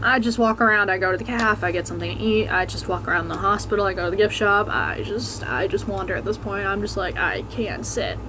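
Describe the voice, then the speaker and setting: A woman talks very fast with hardly any pauses, with audible room echo and noticeable background noise. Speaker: vlogger. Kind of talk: personal testimony vlog. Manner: quiet, speaking softly.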